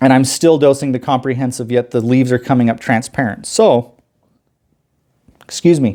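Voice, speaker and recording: The pace from this man is moderate. Long pauses come often between his phrases. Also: medium pitch for a man. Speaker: aquarium hobbyist youtuber. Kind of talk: casual tutorial vlog. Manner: loud; talkative, informal.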